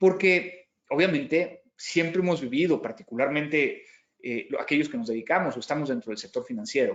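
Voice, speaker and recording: A man speaks in a Mexican accent at a moderate pace. His pitch is fairly high. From Mexico. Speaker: cybersecurity company founder, conference speaker. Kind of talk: conference keynote talk. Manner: frequent hesitations and repetitions.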